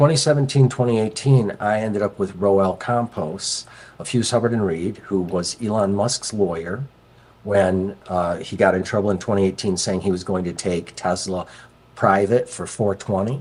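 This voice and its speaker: Here a man talks at a moderate pace with ordinary pitch variation. His pitch sits fairly low. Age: 50s. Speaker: crypto investor. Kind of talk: interview. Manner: animated storytelling, many fillers.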